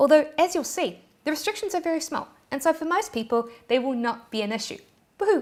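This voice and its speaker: Talking at a very fast pace, a woman with a New Zealand accent has a high pitch and very wide pitch swings. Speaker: YouTube tutorial creator. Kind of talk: tutorial. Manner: animated.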